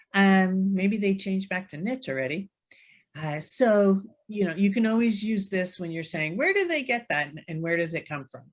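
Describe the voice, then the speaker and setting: A woman speaks at a medium pitch and a moderate pace, her voice somewhat breathy. Her pitch varies in an ordinary way, while her loudness swings widely. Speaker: real estate software trainer. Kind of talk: webinar tutorial.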